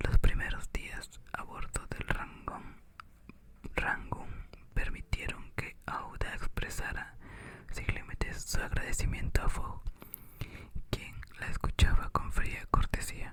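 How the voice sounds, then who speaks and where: Over noticeable background noise, a man whispers at a very slow pace with long, frequent pauses. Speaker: ASMR reader. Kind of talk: whispered audiobook reading for sleep. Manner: whispered, soft, relaxing.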